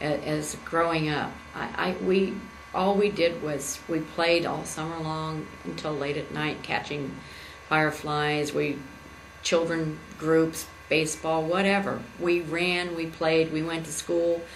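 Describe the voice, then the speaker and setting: A woman speaks at a fairly slow pace in a very deep, low voice with flat, monotone intonation. Noticeable background noise and audible room echo fill the recording. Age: 60s. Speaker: political candidate. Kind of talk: campaign speech. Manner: halting.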